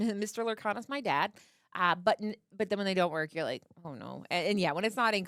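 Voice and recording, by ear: Text is read aloud in a natural voice, with pitch that varies in an ordinary way.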